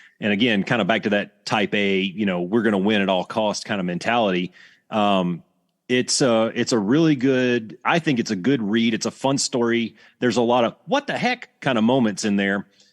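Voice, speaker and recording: A man speaks with a Southern US accent at medium pitch and very even loudness. His pace is moderate, his pitch variation ordinary, and the background quiet. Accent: Southern American. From US South, Alabama. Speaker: retired fighter pilot instructor. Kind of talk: podcast interview. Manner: casual, halting with restarts.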